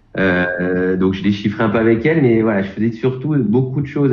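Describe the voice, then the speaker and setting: The speech moves at a fairly quick pace with ordinary pitch variation, audible room echo and noticeable background noise. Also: man, hardly any pauses. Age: 40s. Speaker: piano coach. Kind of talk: interview. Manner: halting, many repetitions and fillers.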